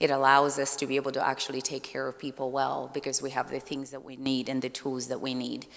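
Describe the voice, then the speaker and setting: A woman speaks with a very deep, low pitch and monotone, flat intonation. She goes at a very fast pace with hardly any pauses. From Malawi. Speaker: surgeon. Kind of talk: conference talk. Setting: conference breakout session. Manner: loud.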